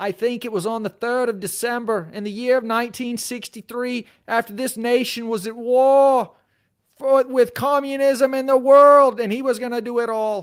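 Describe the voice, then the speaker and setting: Over a very clean recording with a silent background, a man talks at a moderate pace with a Southern accent. His pitch is extremely high and his intonation fairly even. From Tennessee. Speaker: lawyer and legal commentator. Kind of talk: live stream chat reading. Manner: casual, conversational.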